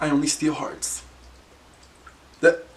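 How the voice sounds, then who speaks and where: Noticeable background noise sits behind a man speaking at a fairly slow pace. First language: Spanish. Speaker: YouTuber. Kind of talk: casual chat. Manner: animated.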